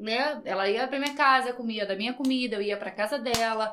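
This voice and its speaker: A woman talks at a moderate pace, and her pitch varies in an ordinary way. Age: 30s. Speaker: podcast guest. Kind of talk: casual chat.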